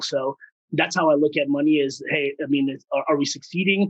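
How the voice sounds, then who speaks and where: With an American accent, a fairly high-pitched man speaks at a fairly quick pace with fairly even intonation. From US West Coast, San Francisco Bay Area. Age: 30s. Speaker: startup founder. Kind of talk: podcast interview.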